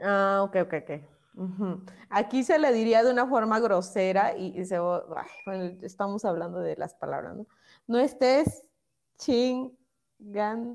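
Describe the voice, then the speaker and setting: A woman talks at a very slow pace. Her pitch is medium, with ordinary pitch variation. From Mexico, Oaxaca. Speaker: radio show host. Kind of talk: casual chat.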